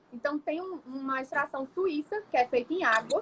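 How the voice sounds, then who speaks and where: A woman's raised, projected voice in a high pitch at a moderate pace. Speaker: nutritionist. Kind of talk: livestream lecture. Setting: live stream.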